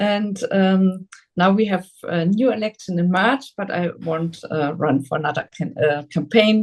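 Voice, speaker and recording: Speaking with a German accent, a woman talks fairly slowly with hardly any pauses. Her voice is somewhat breathy and medium in pitch, with ordinary pitch variation. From Germany, Saarland. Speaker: politician. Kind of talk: interview. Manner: halting.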